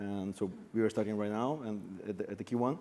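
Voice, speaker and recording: With a Brazilian accent, the speaker talks at a fairly quick pace in a dark, mellow tone. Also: man. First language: Portuguese. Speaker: bitcoin mining company founder. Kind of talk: panel discussion.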